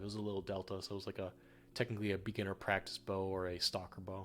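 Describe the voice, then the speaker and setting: A man with an American accent, music in the background. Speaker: streamer. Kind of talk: casual chat. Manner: halting.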